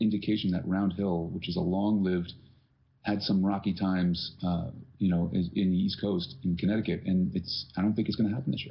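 Someone with an unremarkable speaking voice talks at a fairly quick pace. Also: man. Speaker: bagpipe podcast co-host. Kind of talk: casual chat. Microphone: too quiet, cheap laptop mic.

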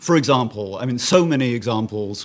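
Using an ordinary speaking voice, a man talks at a moderate pace. His pitch sits in the medium range. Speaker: music lecturer. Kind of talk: panel discussion. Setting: stage with audience.

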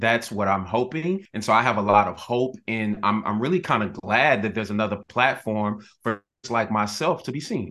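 A man with an American accent, a bright, sharp tone, a moderate pace and hardly any pauses. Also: ordinary pitch variation. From Texas, Dallas. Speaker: actor and singer. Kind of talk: interview.

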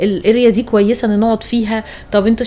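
A woman speaks at a moderate pace with a fairly high pitch. Noticeable background noise runs under her voice. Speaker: travel podcast host. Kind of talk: casual chat. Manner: loud.

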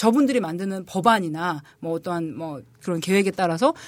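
Fairly quick speech in a plain, everyday voice. The recording is very clean, with a silent background. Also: woman. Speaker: political columnist, former legislative aide. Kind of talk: casual political discussion. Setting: studio.

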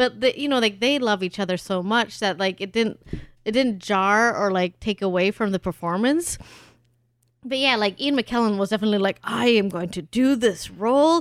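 A normal speaking voice from a woman in an American accent, fairly high in pitch with ordinary pitch variation, moderate pace and a dry, close sound without echo. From Germany. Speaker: podcast host, trivia show co-host. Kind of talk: casual chat.

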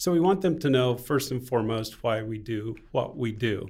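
A man with an American accent, a normal speaking voice, medium pitch and a moderate pace. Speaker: missionary at hospital.

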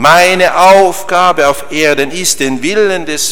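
A man with a high-pitched voice talks very slowly with ordinary pitch variation, and background noise is noticeable. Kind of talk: sermon, earnest homily explaining the Gospel of the wedding at Cana to a congregation. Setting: church. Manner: emphatic and solemn when voicing Christ's words, with rhythmic repetition.

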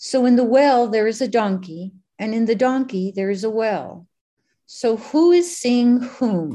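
Her voice is dark and mellow, pitched fairly high, at a fairly slow pace. The woman is heard over a quiet background. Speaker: group facilitator. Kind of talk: group study discussion, reading aloud.

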